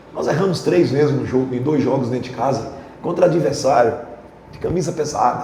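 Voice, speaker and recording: With an animated tone and lively intonation, a man talks at a fairly quick pace. Noticeable background noise and audible room echo surround him. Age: 60s. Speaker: football coach. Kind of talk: press conference.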